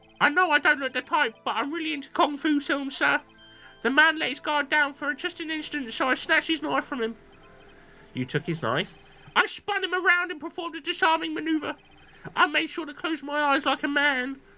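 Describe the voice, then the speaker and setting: In a put-on character voice, a woman speaks at a fairly quick pace over faint background music. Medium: game stream. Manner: eager, says sir constantly.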